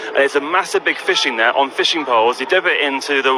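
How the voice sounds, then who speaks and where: There is noticeable background noise. A man speaks with lively intonation. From London. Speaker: bubble entertainer. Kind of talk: live radio interview. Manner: halting with repetitions.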